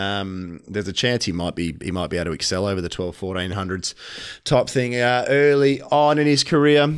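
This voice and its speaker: A man speaks at a medium pitch, his intonation lively. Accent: Australian. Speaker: racing tipster co-host. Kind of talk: casual racing preview chat.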